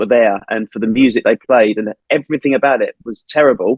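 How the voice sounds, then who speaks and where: At a fairly quick pace, a man speaks in a normal speaking voice with ordinary pitch variation. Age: 40s. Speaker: marketing head of a visitor attraction. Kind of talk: podcast interview, casual chat.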